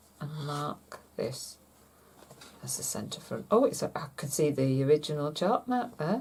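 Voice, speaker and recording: A woman talks very slowly, her pitch swinging very widely, while noticeable background noise carries on behind her. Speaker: seamstress. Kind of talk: sewing tutorial talk to camera. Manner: casual, chatty.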